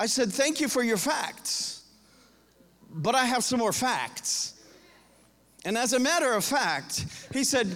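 A man with an American accent at an extremely high pitch, with ordinary pitch variation, very even loudness and a fairly slow pace, broken by long, frequent pauses, in audible room echo. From US South, Florida. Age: 50s. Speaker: pastor. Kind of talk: sermon.

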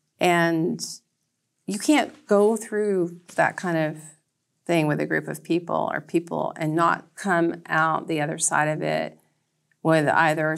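Speaking with an American accent in an unremarkable speaking voice, a woman goes at a fairly slow pace with a fairly low pitch and ordinary pitch variation, in a very clean recording with a silent background. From US South, northwest Georgia. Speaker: library director. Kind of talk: interview. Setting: studio.

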